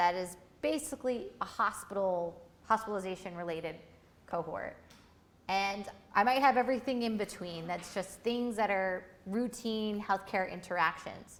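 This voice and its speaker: Medium pitch, ordinary pitch variation and a moderate pace from a woman with an ordinary speaking voice. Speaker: workshop instructor. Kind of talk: lecture.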